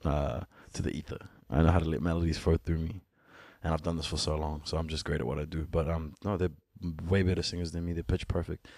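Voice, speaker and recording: A man with a very deep, low pitch talks at a very fast pace in a monotone, flat intonation. The recording is very clean, with a silent background. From Ethiopian family, born in Sudan, raised partly in New Zealand. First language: Amharic (Ethiopian mother tongue). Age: 30s. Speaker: musician. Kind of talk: casual chat.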